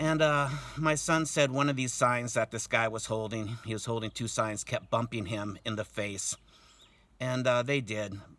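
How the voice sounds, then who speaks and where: The man's tone is bright and sharp, and his intonation stays fairly even. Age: 60s. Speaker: protester recounting an assault on his son. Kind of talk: testimony. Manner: halting, many fillers.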